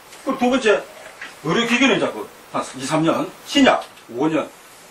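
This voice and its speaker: Over noticeable background noise, a man speaks at an extremely high pitch with very wide pitch swings and a moderate pace. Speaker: feng shui lecturer. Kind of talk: lecture. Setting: lecture hall with audience. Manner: halting, many fillers.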